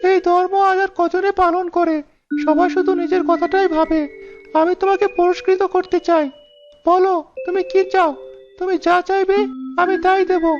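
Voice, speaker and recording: This cartoonish character voice is pitched extremely high and moves at a moderate pace. Faint music plays in the background. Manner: gentle, gracious.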